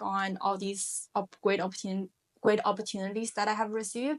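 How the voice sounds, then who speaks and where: A woman with a Chinese accent is heard in a dry, close recording with no echo. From China, Shanghai. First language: Mandarin Chinese. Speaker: finance professional, immigrant. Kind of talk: interview conversation.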